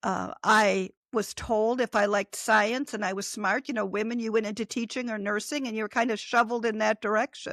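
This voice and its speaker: A woman speaks at a moderate pace in an ordinary speaking voice, fairly high-pitched with fairly even intonation. The sound is dry and close with no echo, and the recording is very clean against a silent background. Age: 60s. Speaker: author and former nurse. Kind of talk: interview conversation.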